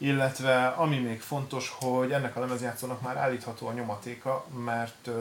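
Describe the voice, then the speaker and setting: A man with a medium pitch speaks in a monotone, flat voice against noticeable background noise. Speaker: DJ equipment shop expert. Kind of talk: casual product presentation. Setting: studio.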